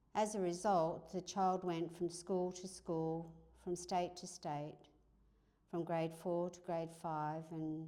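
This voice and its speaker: Speaking with an Australian accent at a very slow pace, a woman has a fairly low pitch, a dark, mellow tone and monotone, flat intonation. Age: 70s. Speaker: institute founder and chair. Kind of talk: speech at an anniversary event.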